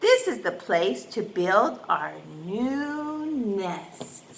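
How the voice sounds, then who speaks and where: Speaking at a very slow pace, a woman uses a put-on character voice at a medium pitch. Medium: read story. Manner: sharp, demanding.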